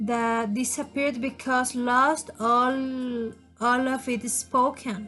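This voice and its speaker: A woman speaks at a high pitch and a very slow pace, her intonation flat and monotone. Music plays in the background. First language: Spanish. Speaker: language student. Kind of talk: class presentation. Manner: halting.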